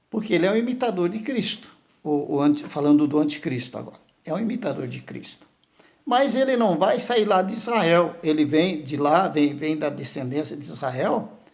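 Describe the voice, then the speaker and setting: Amid audible room echo, a high-voiced man talks at a moderate pace, with very wide pitch swings and big swings in loudness. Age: 60s. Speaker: pastor. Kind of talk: sermon. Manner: halting.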